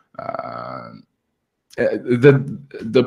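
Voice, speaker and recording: A man with a Turkish accent. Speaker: audience member asking a question. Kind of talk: audience question. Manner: halting, many fillers.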